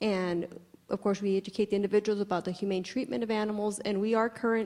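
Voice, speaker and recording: The woman's pitch is medium. She keeps her intonation fairly even. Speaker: education program representative. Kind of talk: conference talk. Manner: fast.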